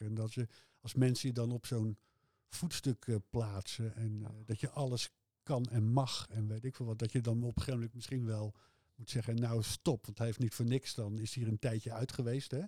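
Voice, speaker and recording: Dark and mellow in tone, a man's somewhat breathy voice sits at medium pitch and moves at a moderate pace. The recording is very clean with a silent background, the sound dry and close with no echo. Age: 60s. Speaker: music fan, host's father. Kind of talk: casual interview about music. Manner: hesitant, many filler sounds.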